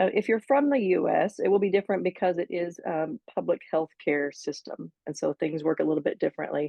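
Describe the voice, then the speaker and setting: In an American accent, a woman speaks very fast at medium pitch with lively intonation. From United States. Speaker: physician associate. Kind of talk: interview.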